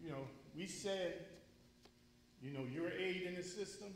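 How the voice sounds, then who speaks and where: Spoken in an American accent at a moderate pace with ordinary pitch variation, the clip carries noticeable background noise and audible room echo. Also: man. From Connecticut, Waterbury. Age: 60s. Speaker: public commenter at community forum. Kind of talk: public comment at community forum. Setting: school forum, speaking at mic. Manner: emotional, earnest.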